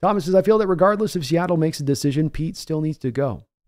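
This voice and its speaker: A man talking at a very fast pace with lively intonation against a quiet background. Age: 40s. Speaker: sports podcaster. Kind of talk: live stream post-game sports talk. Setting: live stream. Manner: relaxed.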